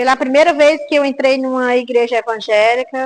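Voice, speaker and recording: Her pitch high, a woman talks at a moderate pace with fairly even intonation. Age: 60s. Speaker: church prayer group member. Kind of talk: testimony. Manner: hesitant, with filler words.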